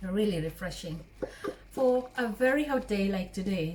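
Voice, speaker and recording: Over noticeable background noise, a woman speaks in a warm tone at medium pitch with ordinary pitch variation. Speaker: cooking vlogger. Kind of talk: cooking tutorial. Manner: warm, chatty.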